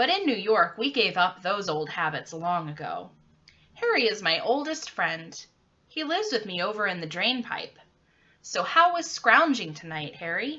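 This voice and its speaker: A woman's put-on character voice, squeaky and medium-pitched, with very wide pitch swings at a moderate pace. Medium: read story. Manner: casual, slangy.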